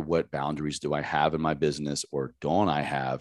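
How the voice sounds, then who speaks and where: A man speaks with an American accent in a very deep, low voice. Vocal fry runs through his delivery. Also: quiet background. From Southwest Virginia, US South. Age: 30s. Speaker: health coach, army veteran. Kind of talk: casual interview.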